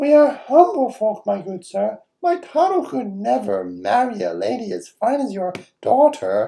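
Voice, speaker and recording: A put-on character voice from a high-pitched man at a moderate pace. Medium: read story.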